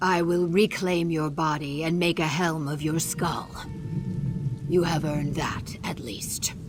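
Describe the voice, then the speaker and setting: Over loud background noise, a put-on character voice at a middle pitch moves at a fairly slow pace. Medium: video game. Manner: blunt, literal, narrates own gestures.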